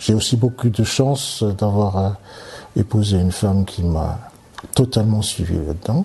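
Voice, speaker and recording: The speech comes at a fairly slow pace. Noticeable background noise is present. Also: man, fairly low pitch for a man, ordinary pitch variation. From Martinique, childhood in Africa and Europe. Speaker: surgeon and oncologist. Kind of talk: interview. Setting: at his home. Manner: halting, many hesitations.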